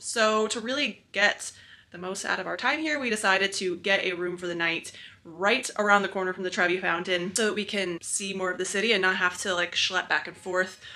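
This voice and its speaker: A woman's voice, fairly quick, with ordinary pitch variation. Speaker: travel vlogger. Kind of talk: casual vlog chat. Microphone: phone near.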